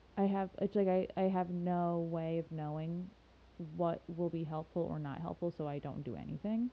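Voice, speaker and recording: Fairly even intonation marks an ordinary speaking voice that moves at a moderate pace. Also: woman, fairly low pitch for a woman. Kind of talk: casual chat.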